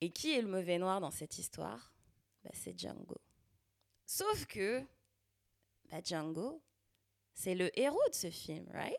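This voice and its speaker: Long, frequent pauses break up a woman's very slow speech. Her volume rises and falls in big swings. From Paris suburbs, Val-de-Marne, France. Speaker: podcast host. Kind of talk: solo podcast monologue. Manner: casual, conversational.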